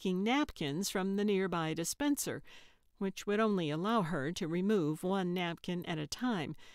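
Pitch moves in an ordinary way. The delivery is a natural reading voice.

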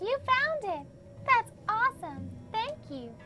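Over loud background noise, a female-sounding put-on character voice speaks at a fairly slow pace. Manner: pleased, grateful.

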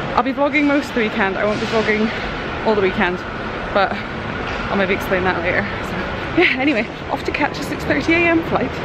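A woman at a fairly quick pace amid loud background noise. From Scotland. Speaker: family vlogger. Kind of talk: casual talk to camera. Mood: subdued, slightly somber. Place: station. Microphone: phone near.

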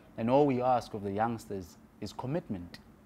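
The tone is dark and mellow, and the pace is moderate. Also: man, medium pitch for a man, ordinary pitch variation.

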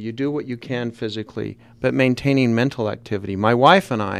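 With a Utah accent, a man speaks in a fairly even intonation. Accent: Utah American English. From Salt Lake City, Utah. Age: 50s. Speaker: author; guest. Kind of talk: radio interview. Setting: radio studio. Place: studio. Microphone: studio mic.

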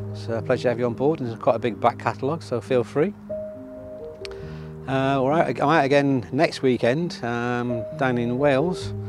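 Clear music plays in the background as a man talks at a fairly quick pace in a dry sound with no echo. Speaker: photography vlogger. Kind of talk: casual vlog chat. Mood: relaxed, slightly wistful. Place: waterside.

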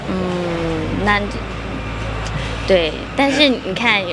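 There is noticeable background noise as a woman talks in a Taiwanese accent. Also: dry sound with no echo. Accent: Taiwanese Mandarin. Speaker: actress. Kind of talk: interview answer. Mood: cheerful, playful. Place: shop. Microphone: handheld.

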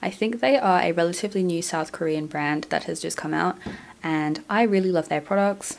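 It is a woman with a fairly low pitch and ordinary pitch variation, in an ordinary speaking voice. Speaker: nail product reviewer. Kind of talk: product review narration.

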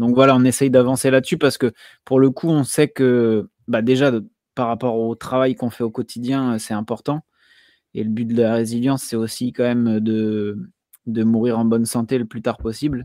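A man's dark, mellow tone at a moderate pace, with fairly even intonation, dry sound with no echo and a quiet background. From Brittany, France. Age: 30s. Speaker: homesteading content creator; podcast guest. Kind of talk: casual chat. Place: home room.

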